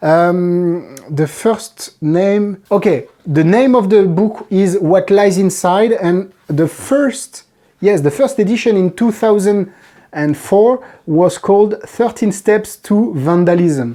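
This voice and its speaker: A woman with a French accent speaks at a very slow pace, her tone dark and mellow and her loudness very even. Her pitch sits in the middle range, and her intonation is lively. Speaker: magic trick reviewer. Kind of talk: product review. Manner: halting.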